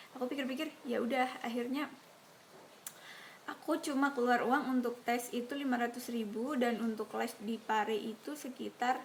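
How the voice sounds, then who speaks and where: Noticeable background noise is present. The talking proceeds at a moderate pace. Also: woman. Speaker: YouTuber, scholarship recipient. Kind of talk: casual Q&A vlog. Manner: casual, with hesitations.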